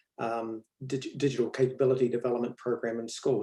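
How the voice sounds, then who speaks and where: A man speaks with a New Zealand accent. His tone is dark and mellow. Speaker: education professor. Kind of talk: interview.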